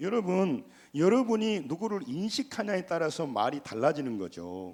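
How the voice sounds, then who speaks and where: In a very clean recording with a silent background, a man's high voice moves at a moderate pace through very wide pitch swings. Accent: Jeolla. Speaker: pastor. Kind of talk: sermon. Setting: church. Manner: animated.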